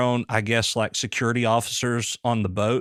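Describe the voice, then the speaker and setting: A man speaks with a Southern US accent. The recording is very clean, dry and close, with a silent background and no echo. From US South. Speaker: podcast host, former police officer. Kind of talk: casual interview chat. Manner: halting.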